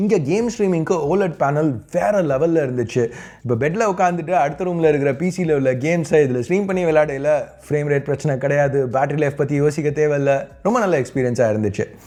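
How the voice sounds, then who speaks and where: A man with fairly high pitch uses a plain, everyday voice with ordinary pitch variation. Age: 30s. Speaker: tech YouTuber. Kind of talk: tech review. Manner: conversational.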